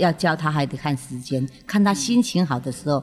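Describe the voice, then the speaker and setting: Over music in the background, a woman with a very deep, low pitch speaks at a fairly quick pace with lively intonation. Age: 50s. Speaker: actress. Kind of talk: casual interview. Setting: open studio.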